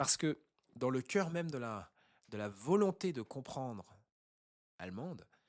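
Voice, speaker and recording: In a very clean recording with a silent background, a man speaks at a medium pitch with very wide pitch swings. His pace is fairly slow, broken by long, frequent pauses. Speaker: online intercultural business coach. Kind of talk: educational talk to camera.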